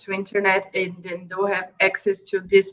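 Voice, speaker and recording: A woman speaks with a Brazilian Portuguese accent. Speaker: NGO project manager. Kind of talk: interview. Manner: halting.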